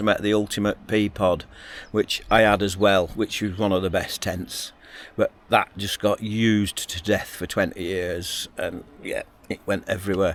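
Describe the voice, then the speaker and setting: With a Lancashire accent, a man talks at a moderate pace in a fairly low voice. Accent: northern English (Lancashire). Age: 60s. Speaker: outdoor adventure vlogger. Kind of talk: casual vlog monologue. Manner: chatty, rambling with hesitations.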